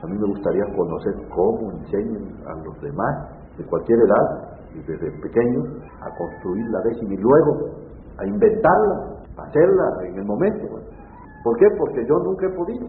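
Amid noticeable background noise and audible room echo, a man speaks at a moderate pace with big swings in loudness. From Mexico, Veracruz, Tlacotalpan. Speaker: poet and reciter. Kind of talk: interview.

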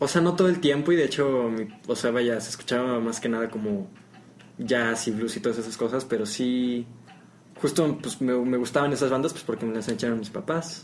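Noticeable background noise sits behind this recording. A man at medium pitch talks at a moderate pace with ordinary pitch variation. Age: young. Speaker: guitarist. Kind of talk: casual chat. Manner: halting.

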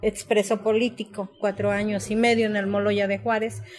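A woman's medium-pitched, unremarkable speaking voice at a moderate pace. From Mexico, Tlaltizapán, Morelos. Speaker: former guerrilla militant and author. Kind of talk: testimony.

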